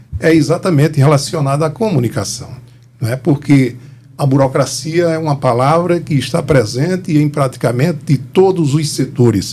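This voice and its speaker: A man's dark, mellow, somewhat breathy voice, fairly high in pitch, at a moderate pace with ordinary pitch variation. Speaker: historian and cultural organizer. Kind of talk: interview.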